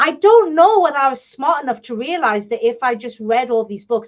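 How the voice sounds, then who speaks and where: A woman with a British accent speaks at a moderate pace. Her pitch is high and her intonation lively. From England. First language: Bengali. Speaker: publisher and author. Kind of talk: interview.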